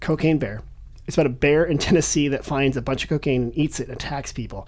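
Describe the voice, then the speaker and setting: The man sounds animated, speaking at a fairly quick pace. His voice is fairly high-pitched and carries vocal fry. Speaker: podcast host. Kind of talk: casual interview chat. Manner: animated, joking.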